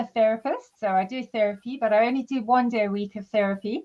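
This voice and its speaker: Speaking with a South African accent, a woman has a fairly high pitch and fairly even intonation. Her pace is moderate. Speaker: psychotherapist and mental health trainer. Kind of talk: interview.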